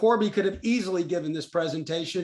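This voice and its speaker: Someone with a Texas accent talks at a very fast pace. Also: man. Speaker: company presenter. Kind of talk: webinar presentation. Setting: online webinar. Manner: hesitant, many fillers.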